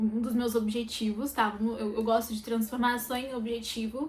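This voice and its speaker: At a moderate pace, a woman talks in a fairly high voice with noticeable background noise behind her. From Brazil, interior of São Paulo state (Sumaré). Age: 20s. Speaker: makeup artist vlogger. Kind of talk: personal vlog. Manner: hesitant, many fillers.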